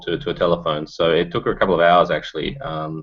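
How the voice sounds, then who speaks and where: A man with an Australian accent at a moderate pace. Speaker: startup founder. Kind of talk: video interview. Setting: video call.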